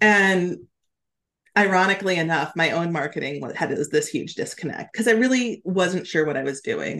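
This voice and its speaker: Speaking with an American accent, a woman uses an ordinary speaking voice at fairly low pitch, a moderate pace and ordinary pitch variation. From Alaska. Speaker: brand messaging strategist and copywriter. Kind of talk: casual chat.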